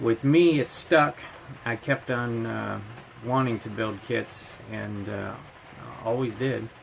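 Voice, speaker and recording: Over noticeable background noise, a man with an American accent speaks at a very slow pace in a medium pitch with ordinary pitch variation. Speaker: scale model hobbyist youtuber. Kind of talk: casual vlog storytelling. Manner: halting, many fillers.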